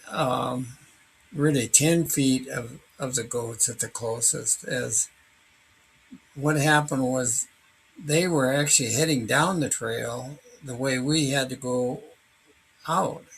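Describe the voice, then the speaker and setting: Very slow speech from a man with long, frequent pauses. His pitch varies in an ordinary way. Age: 80s+. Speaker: hiker recounting a wildlife encounter. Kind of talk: personal narration. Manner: halting, with many fillers.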